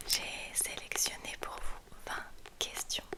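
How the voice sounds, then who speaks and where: The woman is whispering, very slowly. Noticeable background noise is present behind her. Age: 30s. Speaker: ASMR content creator. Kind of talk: ASMR whispered chat. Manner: whispered, soft, slow, intimate.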